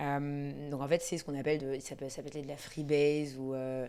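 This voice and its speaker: Speaking at a moderate pace, a woman has a very deep, low pitch, a dark, mellow tone, and monotone, flat intonation. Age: 30s. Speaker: addiction researcher and coach. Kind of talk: podcast interview answer. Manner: casual, conversational.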